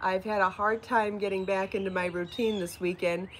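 The speaker is a woman. Light background noise sits behind her voice. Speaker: knitting and crochet designer and podcast host; podcast host. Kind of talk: casual live-stream chat. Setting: outdoors. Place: home room. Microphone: phone near.

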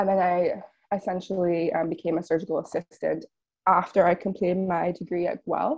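A woman with a Canadian accent speaks fairly quickly in a fairly low pitch and a monotone, flat intonation against a quiet background. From northern Ontario, Canada. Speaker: veterinary student. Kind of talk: presentation and Q&A answers. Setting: online webinar. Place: home room. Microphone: earbuds.

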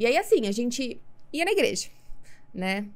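A woman talks at a moderate pace. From Brazil, Campinas (São Paulo state); São Paulo state, Brazil. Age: 30s. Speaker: podcast guest. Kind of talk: testimony. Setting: podcast studio. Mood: personal, reflective testimony. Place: studio. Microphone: studio mic.

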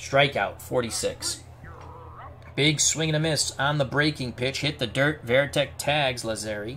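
The voice moves at a fairly slow pace with fairly even intonation. Music plays in the background. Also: man, fairly high pitch for a man. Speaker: sports video creator playing a tabletop baseball replay game and calling it. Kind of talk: live-style sports commentary calling a tabletop baseball replay game.

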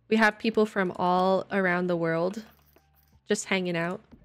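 A woman speaks with an American accent. Faint music plays in the background. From Texas, raised by Michigan parents. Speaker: gaming streamer; live streamer. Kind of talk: casual live-stream chat; casual livestream chat. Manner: animated. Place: home room. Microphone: studio mic.

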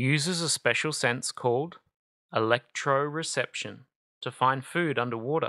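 Someone with an Australian accent speaks at a fairly slow pace on a very clean recording with a silent background. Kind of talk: children's book read-aloud. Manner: calm, soothing.

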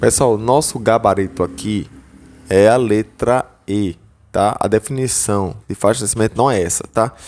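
A man speaks at a moderate pace in a fairly low pitch with ordinary pitch variation, in an unremarkable speaking voice. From Northeast Brazil, João Pessoa, Paraíba; Paraíba, Brazil. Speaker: exam-prep teacher / educational YouTuber; exam-prep teacher, educational YouTuber. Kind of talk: tutorial. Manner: casual, filler-heavy (tá, beleza).

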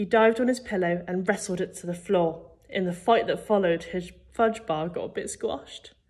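The speaker is reading aloud in a natural voice, and the pitch shifts in an ordinary way.

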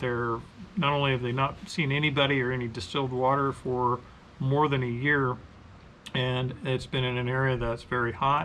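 Light background noise runs behind a man talking at a moderate pace. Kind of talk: casual vlog chat. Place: workshop.

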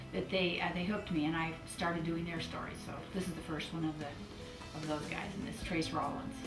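Fairly quick speech with clear music in the background. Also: woman. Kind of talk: interview answer. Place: home room.

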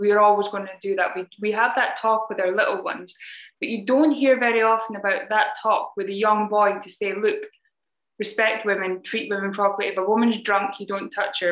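A woman's medium-pitched voice with a slight Scottish accent at a fairly quick pace, audible room echo, and a quiet background. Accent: mild Scottish. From Scotland. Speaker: anti-human-trafficking charity founder and security specialist; podcast guest. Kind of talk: interview. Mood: earnest, serious. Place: home room. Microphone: webcam.

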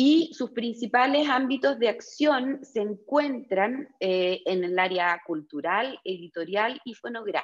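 A woman's high pitch with very wide swings, at a very slow pace. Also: quiet background. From Chile. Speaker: panel moderator, design educator. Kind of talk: panel discussion moderation. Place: office. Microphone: earbuds.

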